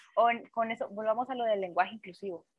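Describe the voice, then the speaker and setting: A woman speaks in a normal speaking voice. Her pitch sits fairly high. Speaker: podcast guest. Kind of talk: casual chat.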